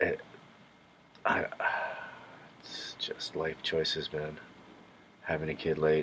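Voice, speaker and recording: Noticeable background noise fills the clip. Within it, a man talks at a very slow pace. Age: 50s. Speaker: vlogger. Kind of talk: casual monologue. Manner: halting.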